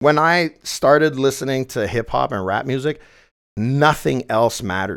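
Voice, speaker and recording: With a Quebec accent, a man talks at a moderate pace and medium pitch with ordinary pitch variation, on a very clean recording with a silent background. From Quebec, Montreal South Shore. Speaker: entrepreneur. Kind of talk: interview.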